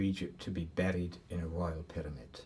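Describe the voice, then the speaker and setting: A man with a very deep, low voice speaks at a fairly slow pace, sounding somewhat breathy. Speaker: university professor, Egyptologist. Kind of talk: expert discussion.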